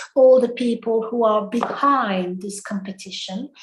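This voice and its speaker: In a French accent, a woman talks with a fairly high voice. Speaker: English-Speaking Union representative. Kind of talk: closing speech. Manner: halting.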